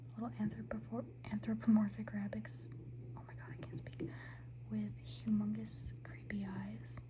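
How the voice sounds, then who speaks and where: A soft-spoken woman talks at a fairly slow pace. Noticeable background noise is present. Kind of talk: ASMR ramble to camera. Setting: ASMR recording with tapping sounds. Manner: soft-spoken, casual, chatty.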